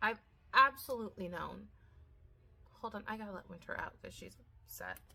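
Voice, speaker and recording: Moving at a fairly quick pace, a woman speaks with big swings in loudness. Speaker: gardening vlogger. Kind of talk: casual chat. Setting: outdoors. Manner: mumbled, not enunciated.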